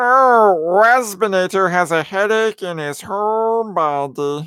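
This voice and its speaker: This is a put-on character voice with a whiny tone. It sits at a middle pitch and moves at a fairly slow pace. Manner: buzzy, whiny.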